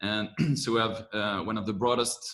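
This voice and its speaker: A man with a French accent speaks at a fairly low pitch and a fairly slow pace. His tone is bright and sharp. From France. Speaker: corporate venture managing director. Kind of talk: webinar presentation.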